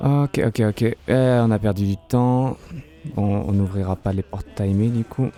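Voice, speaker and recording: A man speaks quietly at a very slow pace with ordinary pitch variation. Music plays in the background. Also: fairly low pitch for a man. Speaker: streamer. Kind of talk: gameplay live commentary. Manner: speaking quietly.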